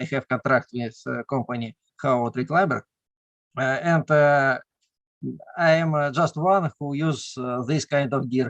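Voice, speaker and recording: The speaker is a man with a Russian accent. The sound is dry and close, with no echo. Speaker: caver and tree climber. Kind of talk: casual chat. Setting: video call. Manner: halting.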